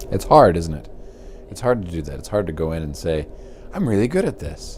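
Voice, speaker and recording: A man talks quietly at a fairly quick pace, with big swings in loudness. Noticeable background noise runs underneath. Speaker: university professor. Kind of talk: casual interview. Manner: halting, many repeated words; quiet and reserved.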